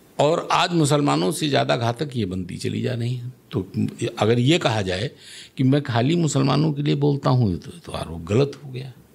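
A man speaks at a moderate pace with lively intonation and vocal fry. His loudness swings a lot. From Lucknow, Uttar Pradesh, India; Uttar Pradesh. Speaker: local politician. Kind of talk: interview. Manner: assertive. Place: studio. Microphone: studio mic.

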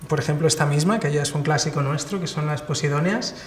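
A man speaks in a flat monotone, with audible echo in the room. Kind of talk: interview answer. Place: workshop.

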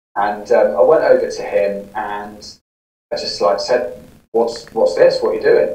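A man speaks with a southern English accent. Faint music plays in the background, and room echo is audible. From southern England (Newbury, Berkshire); southern England. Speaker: podcaster and recovering gambling addict; interview guest. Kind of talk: interview, personal story. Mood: reflective, candid. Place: home room.

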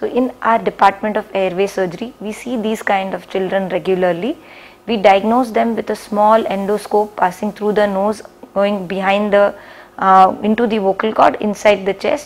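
Fairly even intonation marks this woman's speech. Her pace is moderate. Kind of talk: medical explainer to camera. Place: office. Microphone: lapel.

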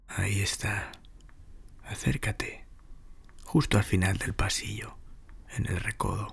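A man whispers very slowly, with long pauses coming frequently. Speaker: narrator. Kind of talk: ghost story telling, scripted horror narration. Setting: audio recording with sound design, best heard on headphones. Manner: intimate, directly addressing the listener as a guide.

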